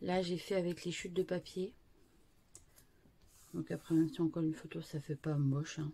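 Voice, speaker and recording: The speaker has a dark, mellow, somewhat breathy tone, ordinary pitch variation, and a moderate pace broken by long, frequent pauses. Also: woman, fairly low pitch for a woman. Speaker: scrapbooking youtuber. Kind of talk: tutorial. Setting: at home. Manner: soft-spoken; halting, many fillers.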